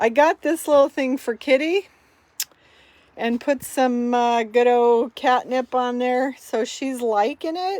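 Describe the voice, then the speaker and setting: A woman speaks loudly at a very slow pace. Her high-pitched voice shows ordinary pitch variation. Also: dry, close sound with no echo. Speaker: vlogger and realtor. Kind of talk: casual vlog tour. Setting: inside RV in heavy rain.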